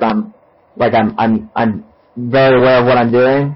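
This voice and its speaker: A normal speaking voice from a man, medium in pitch, moderate in pace, with ordinary pitch variation. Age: 30s. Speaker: podcast host. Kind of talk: casual interview. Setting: remote call. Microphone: recorded through laptop built-in mic, sounds poor.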